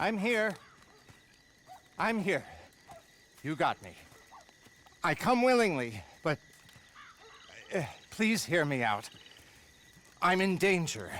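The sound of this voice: A man uses a put-on character voice with a high pitch and a fairly bright tone. He speaks at a slow pace with big pitch swings and long, frequent pauses.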